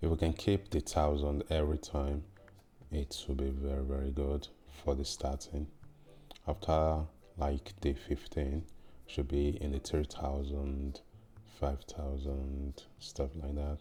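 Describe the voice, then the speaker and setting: A man speaks in a very deep, low voice with a dark, mellow tone that is somewhat breathy. His delivery is monotone and flat, fairly slow, with long, frequent pauses. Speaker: gaming youtuber. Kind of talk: gameplay commentary.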